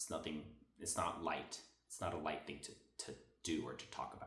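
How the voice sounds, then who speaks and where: Someone talks at a very fast pace, with audible echo from the room. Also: man. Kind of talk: devotional monologue. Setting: at a friend's house, on a couch. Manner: animated.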